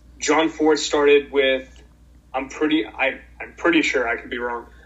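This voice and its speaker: With an American accent, a man speaks at a fairly slow pace in a fairly high pitch and fairly even intonation. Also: long, frequent pauses, big swings in loudness. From Boston, Massachusetts. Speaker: orca advocate. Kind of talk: casual interview.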